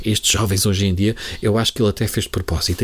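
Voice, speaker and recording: Man at a very fast pace. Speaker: satirical podcast host. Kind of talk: comedic scripted commentary.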